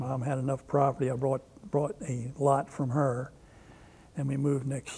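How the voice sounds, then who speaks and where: Somewhat breathy and dark, mellow in tone, a man with an American accent speaks at a fairly slow pace in a fairly high pitch with monotone, flat intonation. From Maryland (Brooklyn, near Baltimore). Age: 80s+. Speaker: war veteran. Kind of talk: oral history interview. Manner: halting.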